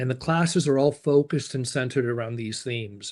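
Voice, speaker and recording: A man speaks at a fairly quick pace and medium pitch, with ordinary pitch variation. The background is quiet. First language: not English; learned English at age 9-10. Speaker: summer camp director and educator. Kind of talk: presentation in interview.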